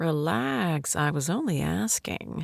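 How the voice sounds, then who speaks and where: A put-on character voice in a low-to-middle pitch moves at a fairly slow pace. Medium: read story. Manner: dry, sardonic.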